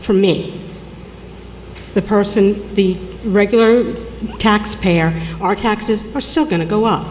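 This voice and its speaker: Speaking with an American accent at a medium pitch, a woman moves at a fairly slow pace with long, frequent pauses, very even loudness and ordinary pitch variation, amid noticeable background noise and audible room echo. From New York (Long Island). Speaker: public commenter, accountant. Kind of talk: public comment at city council hearing. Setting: city council meeting. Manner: halting.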